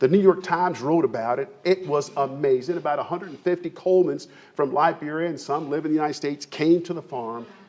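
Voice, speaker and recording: This man sounds animated and speaks very fast, with hardly any pauses. His pitch is fairly high, with ordinary variation. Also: big swings in loudness. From Kentucky, Lexington area. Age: 60s. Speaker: farmer and business founder. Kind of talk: presentation to an audience.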